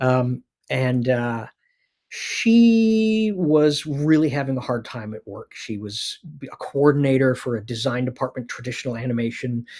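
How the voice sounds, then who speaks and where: A man with an American accent talks at a fairly slow pace. His intonation is lively, and the recording is very clean with a silent background. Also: medium pitch for a man, big swings in loudness. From Canada (Winnipeg, then British Columbia). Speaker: animation producer. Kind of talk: casual interview chat. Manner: halting, many fillers.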